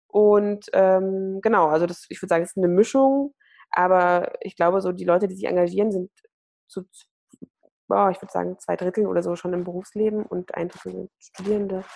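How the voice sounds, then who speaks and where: Speaking at a fairly quick pace, a woman with a medium pitch and a dark, mellow tone keeps a fairly even intonation amid big swings in loudness. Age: 20s. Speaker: nonprofit platform worker and student. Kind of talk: podcast interview.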